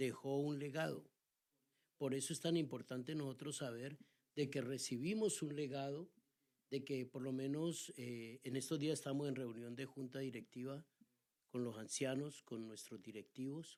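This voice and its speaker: A man speaks at a medium pitch and a fairly slow pace. His tone is dark and mellow, with ordinary pitch variation. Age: 60s. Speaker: pastor. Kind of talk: casual chat.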